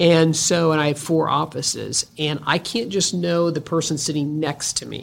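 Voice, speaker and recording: A woman is speaking here. Her pitch is very deep and low. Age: 50s. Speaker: podcast host, business owner. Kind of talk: podcast monologue and interview.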